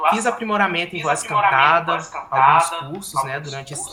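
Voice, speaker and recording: Noticeable background noise and audible room echo fill the recording. The man speaks at a moderate pace, his pitch varying in an ordinary way. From Brazil, Minas Gerais (Palma, near Rio border). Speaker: speech therapist and musician. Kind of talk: lecture. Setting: video call.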